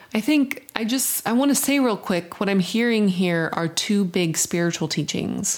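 A woman with a plain, everyday voice speaks at a medium pitch, her intonation lively. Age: 30s. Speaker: podcast co-host, spiritual director. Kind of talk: casual conversation.

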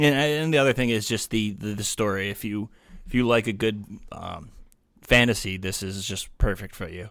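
With a plain, everyday voice, a man speaks at a moderate pace and fairly low pitch on a very clean recording with a silent background. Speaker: former co-host, guest. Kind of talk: casual chat. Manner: joking, deadpan.

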